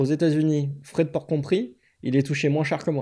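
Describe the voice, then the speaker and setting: A man with a fairly high pitch talks in a dark, mellow tone. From southern France, Aix-en-Provence. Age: 30s. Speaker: software developer, former game shop owner. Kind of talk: interview. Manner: hesitant, many fillers.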